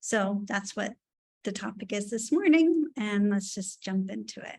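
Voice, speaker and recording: A woman speaks with an American accent at a fairly slow pace. Her voice is somewhat breathy, and its loudness swings widely. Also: medium pitch for a woman, lively intonation. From New York City area. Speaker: education presenter, former teacher and principal. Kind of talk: webinar presentation. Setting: video call webinar.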